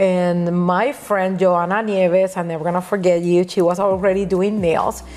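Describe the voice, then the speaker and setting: A woman with a Puerto Rican accent speaks at a moderate pace and a medium pitch, with monotone, flat intonation and hardly any pauses, over noticeable background noise. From Puerto Rico, Caguas. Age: 40s. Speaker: nail educator. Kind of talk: podcast interview. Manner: halting, many restarts.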